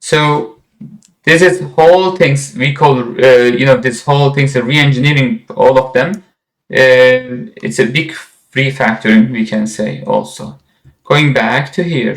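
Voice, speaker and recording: At a fairly slow pace, a man talks at medium pitch with ordinary pitch variation. He has a plain, everyday voice. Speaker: software instructor. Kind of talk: lecture.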